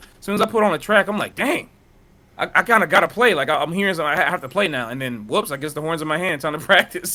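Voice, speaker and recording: In a raised, projected voice, the man sounds bright and sharp. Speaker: jazz saxophonist. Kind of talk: casual interview. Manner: casual, filler-heavy.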